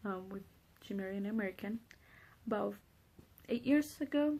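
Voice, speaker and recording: Her voice is somewhat breathy, and the woman's pitch varies in an ordinary way. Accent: Spanish. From Honduras. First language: Spanish. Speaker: college student. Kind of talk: personal introduction monologue. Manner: casual, hesitant with fillers.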